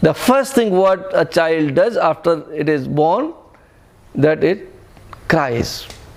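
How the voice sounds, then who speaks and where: With an Indian accent, a man speaks at a very slow pace with long, frequent pauses, a high pitch, lively intonation and very even loudness. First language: Hindi. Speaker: spiritual teacher. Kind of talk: spiritual talk to retreat group. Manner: halting, self-correcting.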